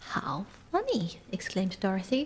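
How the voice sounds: Simply a natural reading voice.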